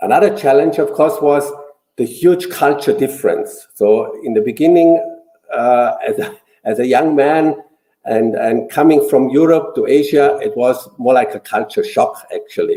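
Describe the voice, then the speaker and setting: He speaks at a moderate pace. The man has a German accent. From Austria, small village. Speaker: businessman, former quality controller. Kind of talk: interview.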